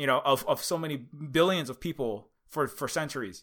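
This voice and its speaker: A man with a Hawaiian accent and a fairly high pitch, bright, sharp and animated in tone, on a very clean recording with a silent background. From Hawaii, Honolulu (Oahu). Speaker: activist and indie game developer. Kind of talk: interview. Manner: animated, halting with many fillers.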